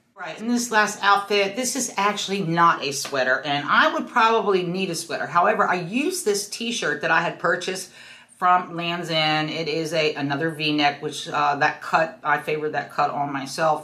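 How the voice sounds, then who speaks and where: A woman with a fairly low pitch speaks in a bright, sharp tone, her intonation lively. She keeps a moderate pace with hardly any pauses, and the room echo is audible. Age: 60s. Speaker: fashion vlogger. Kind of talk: casual style tutorial. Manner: casual, chatty with fillers.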